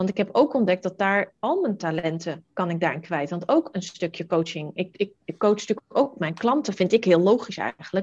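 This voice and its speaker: Lively intonation against a quiet background. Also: woman. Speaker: entrepreneur, virtual assistant matchmaker. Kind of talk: interview conversation. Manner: fast.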